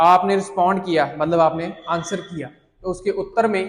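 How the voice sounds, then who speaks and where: Fairly even in intonation, a man with a high pitch speaks against audible room echo. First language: Punjabi (speaking Hindi). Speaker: IELTS teacher. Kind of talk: lecture.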